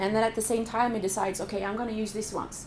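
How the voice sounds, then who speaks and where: A woman with a fairly high pitch talks at a very fast pace in a flat monotone, with audible room echo and noticeable background noise. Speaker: professor. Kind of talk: lecture.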